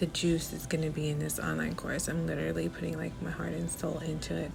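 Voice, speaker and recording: Noticeable background noise fills the clip. Through it, a woman can be heard talking. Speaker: lifestyle vlogger. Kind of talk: vlog monologue. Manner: casual, chatty.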